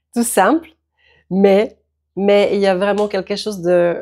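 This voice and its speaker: A woman with a Czech accent speaks at a medium pitch and a fairly slow pace. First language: Czech (speaking French). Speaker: yoga teacher. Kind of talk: tutorial.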